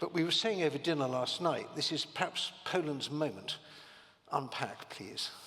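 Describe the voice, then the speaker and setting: This man speaks with a British accent and a fairly high pitch. Noticeable background noise is present. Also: lively intonation, moderate pace. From Britain. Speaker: panel moderator. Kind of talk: panel discussion. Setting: conference stage with audience.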